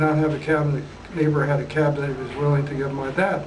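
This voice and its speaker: Noticeable background noise and audible room echo surround a man with an Upper Midwest accent and a fairly high voice. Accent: Upper Midwest American. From southern Minnesota. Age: 80s+. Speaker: retired geophysicist. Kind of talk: oral history interview.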